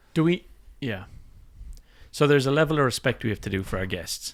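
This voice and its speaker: A man talks at a fairly quick pace in an ordinary speaking voice of medium pitch, with lively intonation. The recording is very clean with a silent background. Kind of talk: casual podcast conversation.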